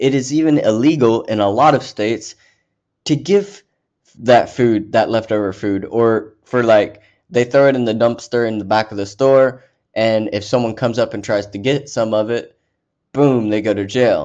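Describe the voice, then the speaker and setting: In a plain, everyday voice, a man speaks at a moderate pace with medium pitch and ordinary pitch variation. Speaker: podcast host. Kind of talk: angry rant about homelessness and food waste. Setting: solo recording on a podcast app. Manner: heated, indignant, increasingly worked up; rambling, self-correcting, repeats words.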